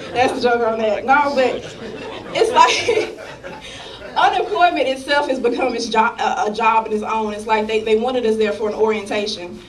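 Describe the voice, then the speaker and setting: Noticeable background noise sits under this woman's voice. She talks at a moderate pace in a high pitch with lively intonation. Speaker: stand-up comedian. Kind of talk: live stand-up comedy set. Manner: casual, brash.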